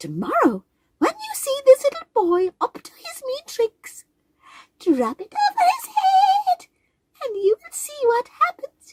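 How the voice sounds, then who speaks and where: This is a put-on character voice with an extremely high pitch and a squeaky sound. The pace is fairly slow. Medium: read story. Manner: giggly, playful.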